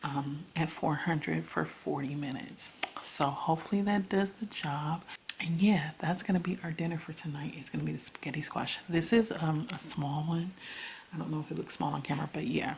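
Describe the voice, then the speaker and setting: A woman whispering at a fairly quick pace, with noticeable background noise. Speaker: vlogger. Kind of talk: casual vlog narration.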